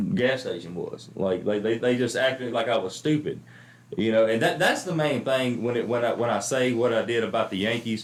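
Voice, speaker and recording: A man speaks at a moderate pace with a medium pitch, ordinary pitch variation and an American accent, in a plain, everyday voice. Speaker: comedian and podcast host. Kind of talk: casual chat.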